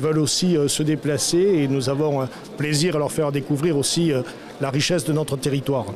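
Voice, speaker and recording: Over noticeable background noise and audible room echo, a man with a fairly high pitch speaks at a fairly quick pace, his loudness very even and his intonation fairly even. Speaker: mayor. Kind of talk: interview. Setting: conference. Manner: hesitant with fillers.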